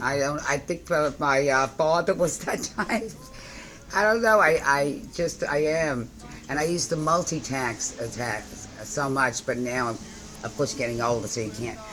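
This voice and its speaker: Over noticeable background noise, a woman talks at a moderate pace in a very deep, low voice. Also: lively intonation. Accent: New York. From New York. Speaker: postal shop owner. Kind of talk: interview answer. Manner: energetic, upbeat.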